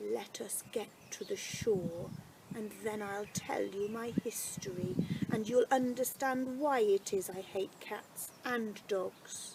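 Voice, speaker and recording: Doing a put-on character voice, a woman speaks shakily at a medium pitch and fairly slow pace, with clear noise in the background. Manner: fearful, hurt.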